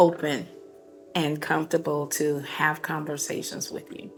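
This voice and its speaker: Soft-spoken, with an American accent, the voice comes over music in the background. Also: woman. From Texas. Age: 50s. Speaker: cancer survivor and advocate. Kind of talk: casual chat. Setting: nail salon.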